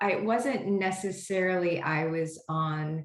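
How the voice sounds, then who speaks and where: Audible room echo surrounds a woman whose fairly low voice shows ordinary pitch variation. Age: 60s. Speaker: homeopath and product creator. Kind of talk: interview. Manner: hesitant, many fillers.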